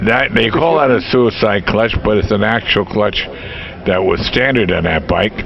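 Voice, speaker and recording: Music can be heard in the background. The words come at a moderate pace. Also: man. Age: 70s. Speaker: vintage motorcycle owner, restorer. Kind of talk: casual interview answers.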